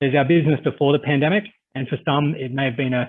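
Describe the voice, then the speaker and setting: This man talks at a very fast pace with an Australian accent. His pitch sits fairly high. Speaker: cybersecurity risk management business leader. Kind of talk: webinar presentation. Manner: hesitant, many filler words.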